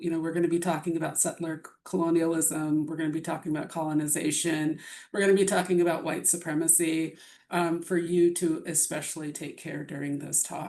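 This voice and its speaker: The shaky voice stays monotone and flat, with audible room echo around it. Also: woman. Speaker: bioethics presenter. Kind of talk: lecture.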